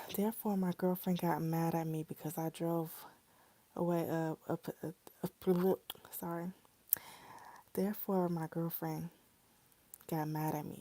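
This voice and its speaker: Heard dry and close with no echo, a woman with a Southern US accent and a dark, mellow tone speaks at a fairly low pitch, in monotone, flat intonation, at a fairly slow pace with long, frequent pauses. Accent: casual American English, y'all dialect. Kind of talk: reading a first-person cheating story aloud. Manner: steady narration with occasional stumbles and self-corrections.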